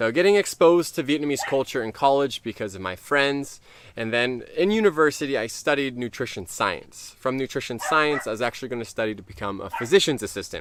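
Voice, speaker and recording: A man with a Californian accent speaks with lively intonation, big swings in loudness and hardly any pauses. The recording is very clean with a silent background. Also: medium pitch for a man. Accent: Californian American English. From US West Coast, Orange County, California. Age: 30s. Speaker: YouTuber. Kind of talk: casual Q&A to camera. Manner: casual, chatty with fillers.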